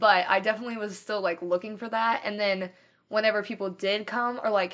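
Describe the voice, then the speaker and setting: A woman with a Midwestern American accent speaks at a fairly quick pace. Her medium pitch holds a monotone, flat intonation. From US Midwest. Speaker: college student. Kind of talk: testimony. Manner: casual, many fillers.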